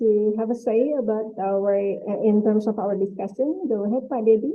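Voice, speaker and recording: A woman speaks with an Indonesian accent at a fairly high pitch. Her intonation is fairly even. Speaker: webinar moderator. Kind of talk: webinar moderation.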